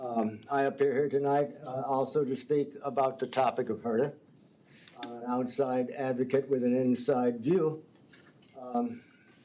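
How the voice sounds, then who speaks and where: Against noticeable background noise, a man talks at a medium pitch in a monotone, flat intonation. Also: moderate pace. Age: 70s. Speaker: former bus driver, public commenter. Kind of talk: public comment.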